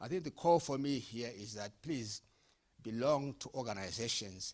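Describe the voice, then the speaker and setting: A man talks at a moderate pace. His intonation is lively. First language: not English. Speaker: panelist on youth entrepreneurship. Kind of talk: panel discussion. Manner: halting.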